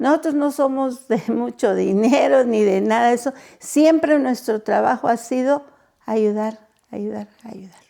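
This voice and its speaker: Her dark, mellow tone sits high in pitch as the woman speaks at a fairly slow pace, with ordinary pitch variation and big swings in loudness. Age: 70s. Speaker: children's home director. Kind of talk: interview testimony.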